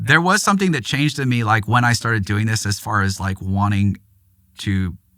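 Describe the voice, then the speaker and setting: Talking at a moderate pace, a man with a fairly low pitch has a bright, sharp tone and lively intonation. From Los Angeles, US. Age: 50s. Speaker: aviation photojournalist and author. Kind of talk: podcast interview. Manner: casual, rambling with fillers.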